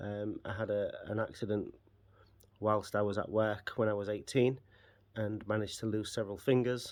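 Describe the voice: With little pitch movement, a man speaks at a moderate pace in a fairly low pitch with a slightly mellow tone.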